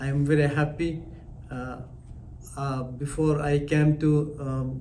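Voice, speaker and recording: A man talks at a very slow pace, with audible room echo around his voice. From Afghanistan. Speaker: language student, former tailor. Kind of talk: testimonial interview. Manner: halting, basic English.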